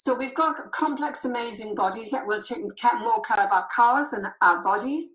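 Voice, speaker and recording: Noticeable background noise accompanies a woman speaking at a moderate pace, her high pitch making very wide swings. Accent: English. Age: 70s. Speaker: health product seller. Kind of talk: sales presentation.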